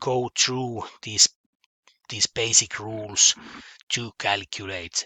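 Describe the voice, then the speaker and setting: This man's words come out at a very slow pace. His voice sits at a medium pitch. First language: Finnish. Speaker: mathematics teacher. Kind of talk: online lesson. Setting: home office. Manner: halting, many fillers and repetitions.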